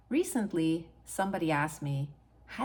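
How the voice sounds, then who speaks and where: A woman speaks with a Hungarian accent. Her pitch is fairly low and her pace fairly slow. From Hungary. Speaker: author and PhD coach. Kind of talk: personal story monologue.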